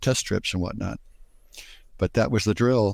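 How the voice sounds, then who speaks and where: Over a silent background on a very clean recording, a man talks at a fairly quick pace. His pitch is fairly low, with ordinary variation. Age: 60s. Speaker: patient with diabetes. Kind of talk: interview. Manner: halting, with many fillers and repeats.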